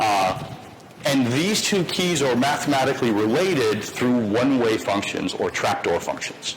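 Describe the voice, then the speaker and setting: Over noticeable background noise and audible room echo, a man talks at a medium pitch with lively intonation. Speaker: lecturer. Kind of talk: lecture. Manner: fast.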